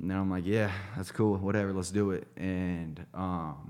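A man with an American accent speaks at a moderate pace in a very deep, low voice, his intonation fairly even. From southern Ohio. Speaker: addiction recovery center business development director. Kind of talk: casual interview chat. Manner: laid-back; halting, repeats words.

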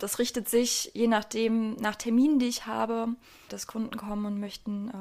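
A woman with a normal speaking voice talks at a fairly quick pace, her fairly high pitch held in fairly even intonation. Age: 20s. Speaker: goldsmith. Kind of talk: interview. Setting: workshop.

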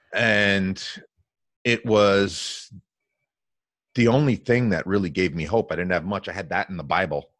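With an American accent, a man speaks fairly slowly in a fairly low voice with ordinary pitch variation. Long, frequent pauses break up his speech against a quiet background. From New Jersey. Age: 30s. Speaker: business coach. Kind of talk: podcast interview. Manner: animated.

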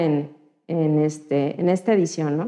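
A woman's dark, mellow tone at a fairly slow pace. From Mexico, Guerrero (Chilpancingo). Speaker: computer engineer, data science community organizer. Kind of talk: interview. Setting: studio.

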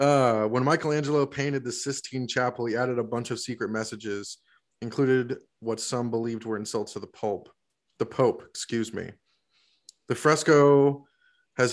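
This man has an American accent, a medium pitch, an ordinary speaking voice, fairly even intonation and a moderate pace. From US South, Florida. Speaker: podcast co-host. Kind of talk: casual chat.

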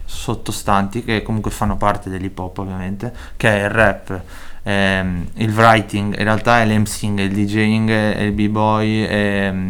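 A man with a Spanish accent talks at a fairly slow pace in a fairly low voice. The room echo is audible. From Chile, moved to Italy as a teen. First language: Spanish (speaking Italian). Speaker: rapper. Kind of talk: interview.

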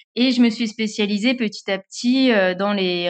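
A woman with a plain, everyday voice speaks at a fairly slow pace, her pitch in the medium range. Her intonation stays fairly even over a quiet background. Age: 30s. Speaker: social media manager and cycling influencer. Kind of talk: interview.

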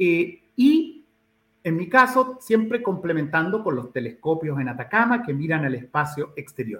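A man's high-pitched voice makes very wide pitch swings while moving at a fairly slow pace. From Chile, Santiago. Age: 60s. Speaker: ecologist and professor. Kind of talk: interview.

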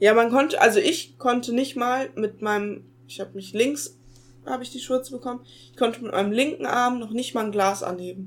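A woman speaks at a high pitch with lively intonation and a fairly quick pace. Her loudness swings widely from moment to moment. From Ruhr area, Germany. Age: young. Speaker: podcast co-host. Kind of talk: casual chat. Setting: video call.

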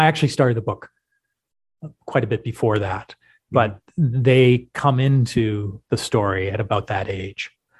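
A somewhat breathy voice with a Canadian accent at a moderate pace, dry and close with no echo. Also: man. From western Canada. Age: 60s. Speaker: professor and author. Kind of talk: podcast interview. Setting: remote call.

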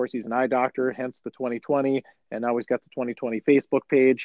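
An ordinary speaking voice, a man's, comes with an American accent, a medium pitch, and a moderate pace. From Chisholm, northern Minnesota. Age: 40s. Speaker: podcast host. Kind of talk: casual chat.

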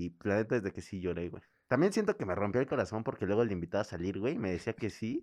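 A man speaks at a very fast pace with hardly any pauses. His pitch is fairly low, and the background is quiet. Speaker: podcast co-host. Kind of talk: casual chat. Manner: animated.

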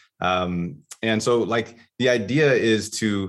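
Over a quiet background, a man with a fairly low pitch speaks with ordinary pitch variation in an unremarkable speaking voice. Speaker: entrepreneur, former Olympic pole vaulter. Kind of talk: interview.

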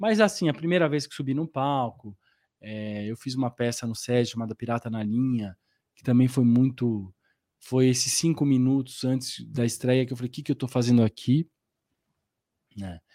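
A man speaks at a medium pitch and a moderate pace, with long, frequent pauses and big swings in loudness. The sound is dry and close, with no echo. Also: ordinary pitch variation, very clean recording, silent background. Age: 40s. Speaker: actor. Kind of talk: interview. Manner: animated.

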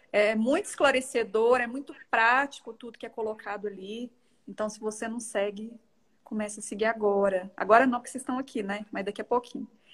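A woman with a normal speaking voice and fairly high pitch talks at a fairly quick pace, her intonation fairly even but her loudness swinging widely. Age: 30s. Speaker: owner of a children's play space. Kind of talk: casual chat, interviewing on a livestream. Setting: live video stream.

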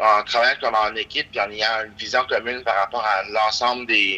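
Speaking fairly quickly, a man with a fairly low pitch delivers his words in a monotone, flat way with a bright, sharp tone. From Quebec, Gaspésie. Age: 20s. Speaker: local politician. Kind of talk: interview. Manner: halting, many repetitions.

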